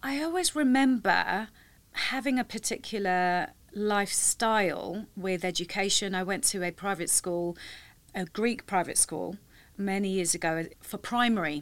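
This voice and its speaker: With a London accent, a woman talks with ordinary pitch variation on a very clean recording against a silent background. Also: medium pitch for a woman, fairly slow pace. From London, England. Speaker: tech industry professional. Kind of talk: interview.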